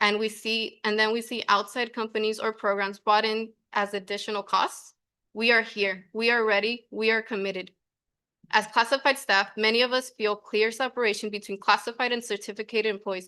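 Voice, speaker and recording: A woman's fairly high, bright, sharp voice, monotone and flat, at a fairly quick pace over a quiet background. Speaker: school staff member, public commenter. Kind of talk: public comment at board meeting. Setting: school board meeting.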